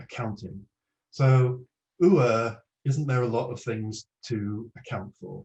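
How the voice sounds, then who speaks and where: Medium pitch from a man with a dark, mellow tone, somewhat breathy, at a very slow pace. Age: 60s. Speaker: psychotherapist giving a talk. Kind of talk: online presentation.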